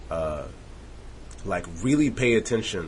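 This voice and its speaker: In a room with audible echo, a man with a very deep, low voice speaks at a moderate pace, somewhat breathy and with lively intonation. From Montreal, Canada. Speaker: rapper. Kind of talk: casual interview.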